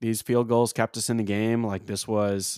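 A man with an ordinary speaking voice, fairly low in pitch, at a moderate pace, in a dry, close recording with no echo, very clean with a silent background. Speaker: sports podcast co-host. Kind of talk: casual chat.

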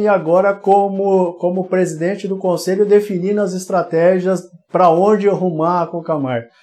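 The man has a high pitch and a dark, mellow tone. He speaks at a moderate pace. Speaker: web show host, business interviewer. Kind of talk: live interview. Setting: live video broadcast.

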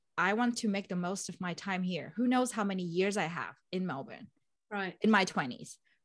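A woman speaks with a Vietnamese accent. Her pitch is medium. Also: ordinary pitch variation, moderate pace. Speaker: project manager, podcast host. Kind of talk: casual interview conversation.

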